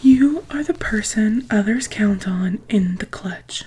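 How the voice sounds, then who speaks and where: The speaker is whispering and soft-spoken. Noticeable background noise is present. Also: woman. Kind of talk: ASMR book reading. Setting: close-mic studio. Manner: soft-spoken, whispery.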